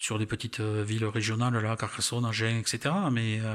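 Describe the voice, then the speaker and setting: With a southern French accent, a man speaks at a medium pitch in a monotone, flat delivery. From southern France, Aveyron (Millau). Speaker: retired railway worker and travel photographer. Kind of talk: interview. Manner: halting.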